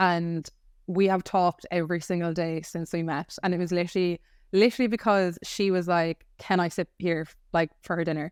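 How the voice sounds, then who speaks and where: In an Irish accent, a woman talks at a fairly quick pace with a fairly low pitch, on a very clean recording with a silent background and a dry, close sound with no echo. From Ireland. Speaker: podcast co-host. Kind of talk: casual chat. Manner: animated.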